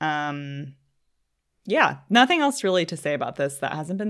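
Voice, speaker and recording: A woman keeps a moderate pace, heard on a very clean recording against a silent background. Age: 20s. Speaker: podcast co-host. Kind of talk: casual chat.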